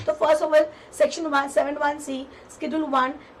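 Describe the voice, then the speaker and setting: A woman speaks over noticeable background noise. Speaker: tax exam tutor. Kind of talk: lecture. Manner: repetitive.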